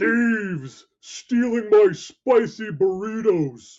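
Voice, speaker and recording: A man speaks in a put-on character voice, pitched high. His pace is very slow. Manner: angry accusing the thieves.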